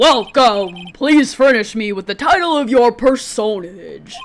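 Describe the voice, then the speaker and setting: Fairly slow and fairly high-pitched, a put-on character voice. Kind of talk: overly formal, stilted. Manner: pompous, ceremonious.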